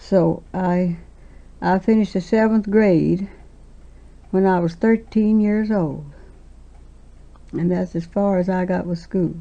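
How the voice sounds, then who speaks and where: This woman speaks with a Southern US accent at medium pitch. Her tone is dark and mellow, her intonation fairly even, and her pace fairly slow. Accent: Southern American. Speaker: quilt maker. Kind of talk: oral history interview answer.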